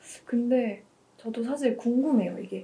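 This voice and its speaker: Her pitch is fairly high, and the woman speaks fairly slowly. Noticeable background noise runs underneath. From North Korea. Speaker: university student. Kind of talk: interview.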